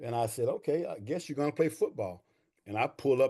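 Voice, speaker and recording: A somewhat breathy man at a very fast pace, with an East Texas accent. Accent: East Texas Southern US. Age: 60s. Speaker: army veteran and veterans' claims coach. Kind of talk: interview. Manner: animated.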